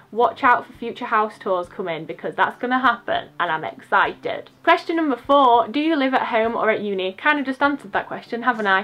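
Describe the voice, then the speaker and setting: A woman with an English accent talks fairly quickly in a high voice with a bright, sharp tone and hardly any pauses. Her pitch swings very widely and her loudness shifts a lot. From England. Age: 20s. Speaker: YouTuber, university student; YouTuber. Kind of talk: casual vlog chat. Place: home room. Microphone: phone near.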